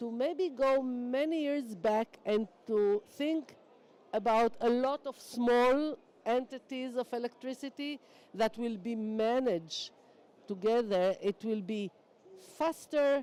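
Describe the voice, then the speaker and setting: A woman with a non-native accent speaks at a very slow pace, her high pitch carrying a dark, mellow tone with ordinary pitch variation. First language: not English. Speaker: energy sector panelist. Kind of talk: panel discussion.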